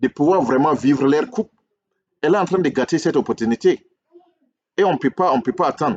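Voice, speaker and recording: Recorded dry and close with no echo, a man speaks in a fairly high voice with lively intonation. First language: English (speaking French). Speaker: relationship coach, YouTuber. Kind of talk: video monologue, critique and subscribe appeal. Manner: hesitant, repetitive.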